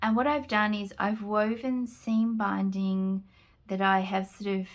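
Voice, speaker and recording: Heard in a very clean recording with a silent background, a woman with a strong Australian accent speaks at medium pitch with fairly even intonation. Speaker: junk journal crafter. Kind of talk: product flip-through tutorial. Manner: casual, hesitant with frequent fillers.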